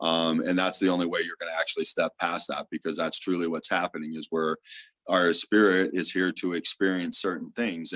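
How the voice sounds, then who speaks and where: A moderate pace and fairly even intonation in a dry, close sound with no echo. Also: man. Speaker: theta healer. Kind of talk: interview.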